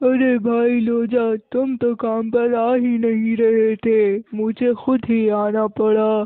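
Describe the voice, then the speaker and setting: A man's cartoonish character voice, extremely high-pitched, at a fairly slow pace, with monotone, flat intonation and very even loudness. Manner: fatherly, chiding.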